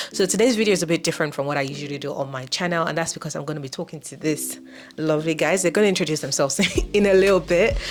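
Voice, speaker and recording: With music in the background, the voice goes at a very fast pace, with ordinary pitch variation and big swings in loudness. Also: woman, very deep, low pitch for a woman. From Nigeria. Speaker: YouTuber and master's student. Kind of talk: casual chat. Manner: relaxed, light-hearted.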